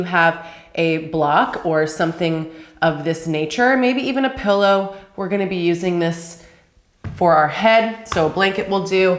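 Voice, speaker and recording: In a room with audible echo, a woman speaks at a medium pitch and a moderate pace with ordinary pitch variation. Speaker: yoga instructor. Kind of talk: tutorial. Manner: casual.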